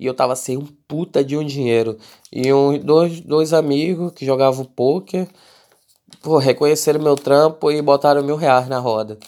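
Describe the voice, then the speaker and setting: Dark, mellow male voice at a fairly slow pace, fairly even in intonation, on a very clean recording with a silent background. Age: 20s. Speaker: podcast host and rap label manager. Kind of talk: casual monologue podcast answering listener questions. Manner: casual, with frequent filler words.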